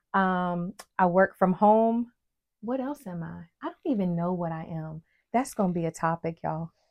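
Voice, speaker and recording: With an American accent and an ordinary speaking voice, a woman speaks at medium pitch and a moderate pace, showing ordinary pitch variation and big swings in loudness, in a dry, close sound with no echo and a quiet background. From West Virginia. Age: 40s. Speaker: podcast co-host. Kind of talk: casual chat.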